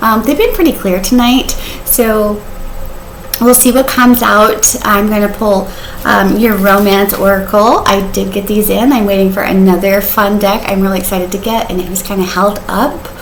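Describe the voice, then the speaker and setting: Audible room echo and noticeable background noise surround a woman speaking with fairly even intonation. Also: medium pitch for a woman. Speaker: tarot reader. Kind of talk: tarot reading. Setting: home, on the sofa. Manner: fast; casual, chatty.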